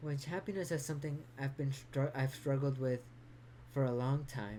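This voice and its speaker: Her pitch is very deep and low, with ordinary variation. This woman has a dark, mellow tone and keeps a moderate pace. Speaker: vlogger. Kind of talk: personal vlog monologue. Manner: halting, with stutters and repetition.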